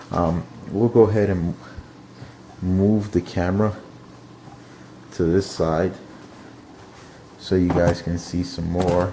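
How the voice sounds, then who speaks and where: A man with a very deep, low pitch talks at a very slow pace, using fairly even intonation. Long, frequent pauses break up his speech against noticeable background noise. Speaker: aquarium hobbyist video host. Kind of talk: casual video tour. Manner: monotone; halting, many fillers.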